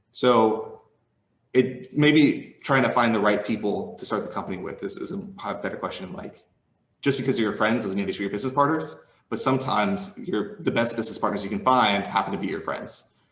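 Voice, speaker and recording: Over audible room echo, a man at medium pitch talks at a fairly quick pace with very wide pitch swings. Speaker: tech startup founder. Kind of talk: keynote Q&A. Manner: fast; casual.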